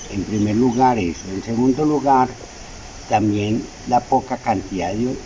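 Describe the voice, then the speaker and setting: The speaker talks at a fairly slow pace with ordinary pitch variation, and there is noticeable background noise. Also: man. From Colombia, Chinchiná, Caldas. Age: 70s. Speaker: coffee farmer. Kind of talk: interview.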